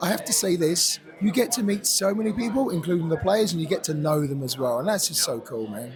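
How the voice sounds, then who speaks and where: A man with an English accent at a high pitch, very fast and with hardly any pauses, his pitch swinging very widely over noticeable background noise. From England. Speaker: esports caster. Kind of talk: casual interview.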